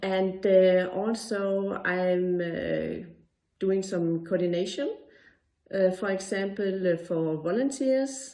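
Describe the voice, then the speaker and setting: A woman speaks very slowly at a medium pitch in a Danish accent, with audible echo from the room. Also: ordinary pitch variation. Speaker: occupational therapist. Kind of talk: pre-recorded presentation. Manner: halting, pauses searching for words.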